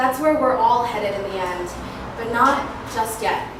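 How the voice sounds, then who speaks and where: A woman takes her time, speaking at a fairly slow pace. Noticeable background noise is present. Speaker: spoken word poet. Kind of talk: spoken word poetry performance. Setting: live open mic.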